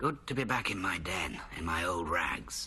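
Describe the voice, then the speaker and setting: A put-on character voice from a man, raspy and very deep, with very wide pitch swings, a moderate pace and light background noise. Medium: short film. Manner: reflective, dry, measured.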